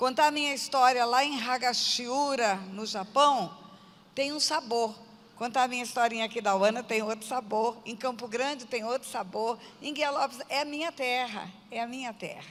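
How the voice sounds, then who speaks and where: A woman's high voice, with ordinary pitch variation, at a moderate pace. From Brazil, Mato Grosso do Sul (Aquidauana). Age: 60s. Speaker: pastor. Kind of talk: testimony.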